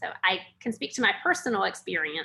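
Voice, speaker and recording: In a North Carolina accent, a woman speaks at a moderate pace with a bright, sharp tone. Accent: Southern US (North Carolina). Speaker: educator and webinar presenter. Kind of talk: webinar presentation. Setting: online webinar.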